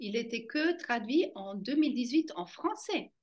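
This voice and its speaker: A high-pitched woman with a German accent speaks at a very slow pace. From German-speaking Switzerland. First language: German (speaking French). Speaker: fascia movement trainer. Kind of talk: interview.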